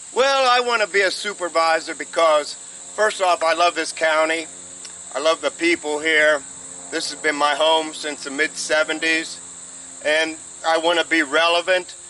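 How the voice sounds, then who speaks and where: With an American accent, a man speaks at a moderate pace in a fairly high pitch with ordinary pitch variation, over noticeable background noise. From Ohio, USA. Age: 70s. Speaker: supervisor candidate, retired, garden columnist. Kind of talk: interview answer.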